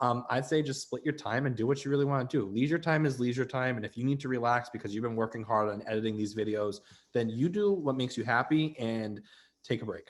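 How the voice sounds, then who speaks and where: Very fast and with a Rhode Island accent, a man talks at a medium pitch with ordinary pitch variation. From Rhode Island, Barrington. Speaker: student web show host. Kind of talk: casual advice chat.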